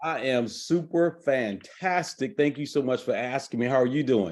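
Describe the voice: At a moderate pace, a man talks with a slightly mellow tone, medium pitch and ordinary pitch variation.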